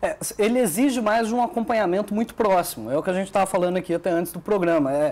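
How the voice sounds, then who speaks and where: Very fast and high-pitched, a man speaks with ordinary pitch variation. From southern Minas Gerais, Brazil. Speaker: sports journalist. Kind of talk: TV talk show interview.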